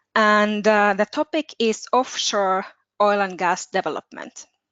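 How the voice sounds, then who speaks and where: Speech in a Finnish accent comes at a very slow pace. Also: woman. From Finland. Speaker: participant, international relations student. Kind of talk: question in Q&A.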